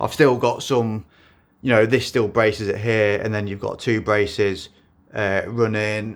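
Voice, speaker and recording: A man speaks at a fairly low pitch in a monotone, flat intonation. The recording is very clean, with a silent background. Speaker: motorcycle builder. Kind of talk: tutorial. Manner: halting.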